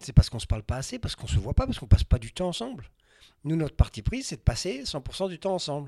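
Talking at a very fast pace, a man with a fairly high pitch and a dark, mellow, somewhat breathy tone makes very wide pitch swings and big swings in loudness, in a dry, close sound with no echo. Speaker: travel writer and adventurer. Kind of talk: interview. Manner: halting.

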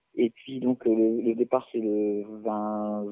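The voice belongs to a man with a medium pitch. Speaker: clown. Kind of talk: casual chat. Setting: phone call. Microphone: talking too close or far from phone.

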